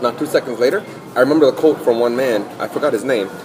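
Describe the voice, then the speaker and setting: There is audible room echo and noticeable background noise. Through it, a man speaks at a medium pitch. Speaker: podcast host. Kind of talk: casual chat. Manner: fast.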